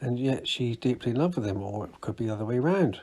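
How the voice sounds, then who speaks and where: A man speaks with a British accent. His voice sits at a medium pitch. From UK. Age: 60s. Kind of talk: casual talk to camera. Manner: halting, self-correcting.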